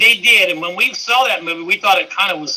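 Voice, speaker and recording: Raising and projecting his voice, a man talks at a fairly quick pace with lively intonation. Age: 60s. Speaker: fan club co-founder and teacher. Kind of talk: casual interview.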